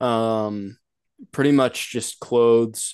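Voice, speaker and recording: A man with an American accent speaks at a medium pitch against a quiet background. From Nashville, Tennessee, US South. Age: 20s. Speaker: podcast guest, traveler. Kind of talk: casual chat. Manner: halting, many fillers.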